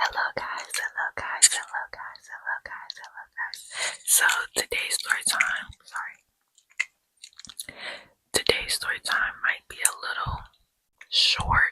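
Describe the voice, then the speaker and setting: Whispering at a fairly slow pace with long, frequent pauses, a woman is heard in a dry, close sound with no echo. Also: big swings in loudness. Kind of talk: ASMR storytime, casual talk to camera. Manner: soft-spoken.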